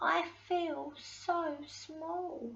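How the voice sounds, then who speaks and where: Her put-on character voice climbs to an extremely high pitch as the woman talks. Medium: read story.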